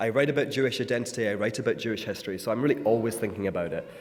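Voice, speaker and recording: With a Scottish accent and lively intonation, a man at medium pitch talks amid audible room echo. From Scotland. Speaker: author and speaker. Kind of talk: talk to a congregation. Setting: synagogue.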